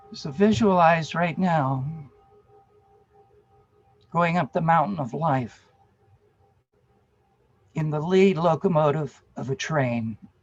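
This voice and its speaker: With music in the background, a man speaks at a very slow pace in a fairly high pitch, using ordinary pitch variation and long, frequent pauses. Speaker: meditation and workshop leader. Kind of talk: guided meditation. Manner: calm, slow, soothing.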